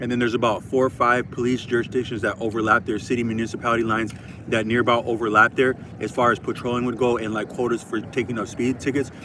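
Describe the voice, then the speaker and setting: A man's medium-pitched voice with an American accent, very fast and in monotone, flat intonation, over noticeable background noise. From Minnesota, Twin Cities. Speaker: YouTuber. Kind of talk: casual monologue. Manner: halting, many fillers.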